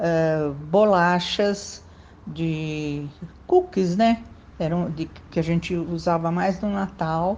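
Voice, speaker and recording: Very slowly and with fairly even intonation, a woman speaks at a fairly low pitch. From São Paulo, Mooca. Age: 70s. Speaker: local resident interviewee. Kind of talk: interview.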